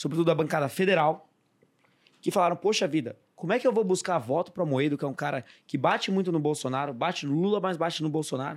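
This man has a high pitch and ordinary pitch variation. He talks at a fairly quick pace in a very clean recording with a silent background. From interior of São Paulo state, Brazil. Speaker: economist and politician. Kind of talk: casual podcast discussion. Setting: studio.

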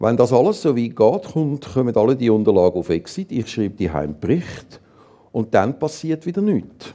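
A man with a medium pitch and a dark, mellow tone speaks at a moderate pace, his pitch swinging very widely, with vocal fry. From Zurich, Switzerland. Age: 60s. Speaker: assisted-dying companion, former teacher and psychologist. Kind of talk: interview on stage. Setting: stage with audience.

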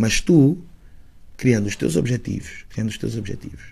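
With ordinary pitch variation at a moderate pace, a man speaks in a dark, mellow, somewhat breathy tone. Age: 30s. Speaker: rapper. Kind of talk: casual chat. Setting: studio.

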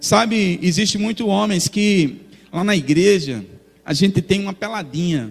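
Music plays in the background as a man talks at a fairly slow pace. His voice is high, with ordinary pitch variation. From Brazil, not Bahia. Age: 40s. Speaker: pastor. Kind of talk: sermon. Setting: church.

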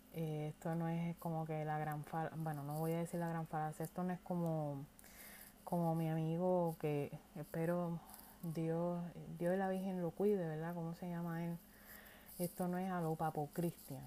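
A woman with a Puerto Rican accent, a dark, mellow tone and monotone, flat intonation. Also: fairly low pitch for a woman, fairly slow pace. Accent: Puerto Rican Spanish, mistaken for Irish. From Puerto Rico. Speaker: podcast host. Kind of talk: casual monologue.

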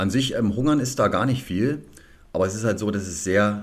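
With ordinary pitch variation, a man talks in a fairly low voice. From Cottbus, Lusatia, eastern Germany. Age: 30s. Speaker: personal trainer and former bodybuilder. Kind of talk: interview conversation. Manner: hesitant, many fillers.

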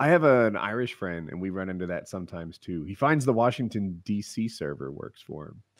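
A man with an American accent and a normal speaking voice, fairly low pitch, lively intonation, big swings in loudness, a fairly quick pace with hardly any pauses, in a very clean recording with a silent background. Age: 40s. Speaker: podcast host and gamer. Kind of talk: casual chat.

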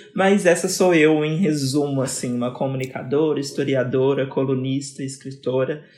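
At a fairly slow pace, a woman talks in a very deep, low voice. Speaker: communicator and historian. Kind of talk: casual chat.

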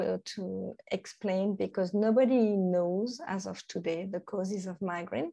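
Speaking with a French accent, a woman has a medium pitch and fairly even intonation. The background is quiet. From France, Normandy. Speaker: nutrition coach. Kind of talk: interview. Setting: remote call. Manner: halting.

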